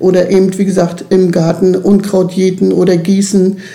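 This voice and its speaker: A woman speaks with monotone, flat intonation amid noticeable background noise and audible room echo. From eastern Germany, Lusatia region. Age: 60s. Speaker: youth club worker, former nursery teacher. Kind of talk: interview.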